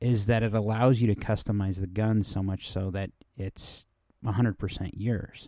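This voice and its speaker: The recording is very clean, with a silent background. A dark, mellow voice moves at a moderate pace with monotone, flat intonation. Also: man, fairly low pitch for a man. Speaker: podcast host. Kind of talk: casual monologue. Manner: hesitant with fillers.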